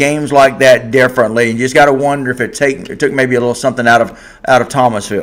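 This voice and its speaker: This man speaks with a Southern US accent. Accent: Southern US (Georgia). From Georgia, US South. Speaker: sports podcast host. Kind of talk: live stream sports talk show. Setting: live stream. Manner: casual, conversational.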